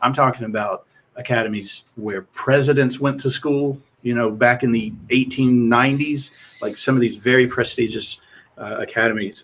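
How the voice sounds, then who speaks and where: In a Southern US accent, a man speaks at a moderate pace. His pitch is medium and his intonation fairly even. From US South, rural Kentucky. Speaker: mock trial head coach. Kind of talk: casual chat.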